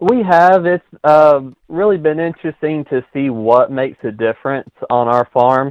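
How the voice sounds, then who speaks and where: A man's ordinary speaking voice, fairly high in pitch, with lively intonation and a moderate pace, in a dry, close sound with no echo. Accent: American. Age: young. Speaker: farmer. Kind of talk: interview.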